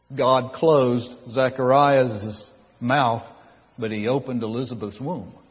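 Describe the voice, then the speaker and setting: Amid audible room echo, a man with a Southern US accent speaks slowly in a medium pitch with fairly even intonation and long, frequent pauses. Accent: Southern American. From US South, North Carolina. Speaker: pastor. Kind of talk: sermon.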